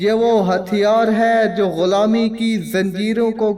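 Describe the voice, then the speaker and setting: Monotone, flat delivery over music in the background. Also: man. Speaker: voice-over narrator. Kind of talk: documentary narration. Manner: dramatic, impassioned.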